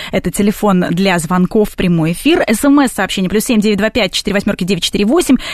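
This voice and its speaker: A woman speaks very slowly at a medium pitch, somewhat breathy and with ordinary pitch variation. She barely pauses and keeps her loudness very even. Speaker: radio host. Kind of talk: radio talk show hosting. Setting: radio studio.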